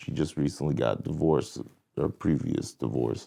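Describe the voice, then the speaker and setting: Against a quiet background, a man with a dark, mellow tone and vocal fry talks at a moderate pace with ordinary pitch variation. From New Jersey, US. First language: French. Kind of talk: casual interview chat.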